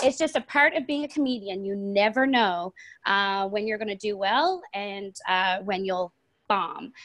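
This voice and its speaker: Moving at a fairly slow pace, a woman speaks with lively intonation. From Newfoundland, Canada. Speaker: stand-up comedian and lawyer. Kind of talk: casual chat in an English conversation club. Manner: many fillers (um, uh).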